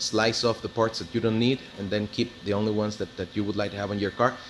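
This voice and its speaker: Against noticeable background noise, a man with a slight non-native accent speaks in a fairly low voice. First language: Spanish. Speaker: car hobbyist / mechanic. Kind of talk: casual video walkthrough. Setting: auto body shop. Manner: halting, many fillers.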